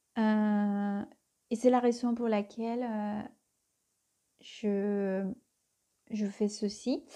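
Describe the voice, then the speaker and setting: Speaking very slowly with a Spanish accent, a woman has a dark, mellow tone, a fairly high pitch and monotone, flat intonation. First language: Spanish (speaking French). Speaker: tarot reader. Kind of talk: tarot reading. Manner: hesitant, many fillers.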